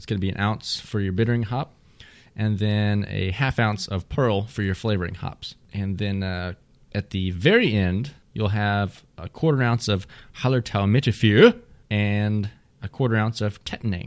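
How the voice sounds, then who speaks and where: In a Texan accent, a man with a fairly low pitch talks at a moderate pace with fairly even intonation, on a very clean recording with a silent background. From Texas. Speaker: beer podcast host. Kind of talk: casual chat.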